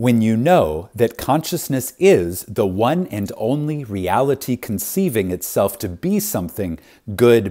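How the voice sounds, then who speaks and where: Speaking at a fairly slow pace, a man with a medium pitch and a dark, mellow tone makes very wide pitch swings on a very clean recording with a silent background. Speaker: audiobook narrator. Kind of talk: audiobook reading. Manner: reverent, measured with pauses and emphasis.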